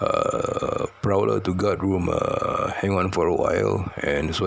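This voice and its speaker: A man speaks with a Malaysian accent. Background noise is noticeable. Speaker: storyteller. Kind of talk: personal storytelling. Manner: halting, many fillers and repetitions.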